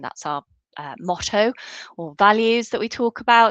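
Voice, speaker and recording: With a Southwest England accent, a woman speaks at a fairly slow pace with lively intonation, in a dry, close sound with no echo and a quiet background. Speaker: law school lecturer. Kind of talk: online workshop presentation. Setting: virtual event.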